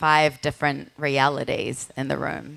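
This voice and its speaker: With a strong New Zealand accent, a woman speaks at a fairly slow pace in a very deep, low pitch and a monotone, flat intonation. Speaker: podcaster and writer. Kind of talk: panel discussion. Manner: deliberately slower; halting, many fillers.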